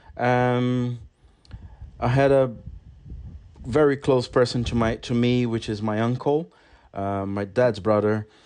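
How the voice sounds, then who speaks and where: Speaking in a Brazilian accent, a man at a medium pitch moves at a fairly slow pace with long, frequent pauses and fairly even intonation. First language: Portuguese. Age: 40s. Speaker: podcast host. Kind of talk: solo podcast monologue. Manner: halting.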